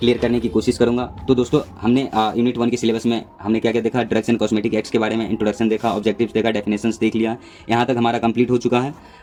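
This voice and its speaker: Barely pausing, a man talks in a dark, mellow tone with monotone, flat intonation. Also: medium pitch for a man. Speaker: pharmacy lecturer. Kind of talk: lecture. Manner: hesitant fillers.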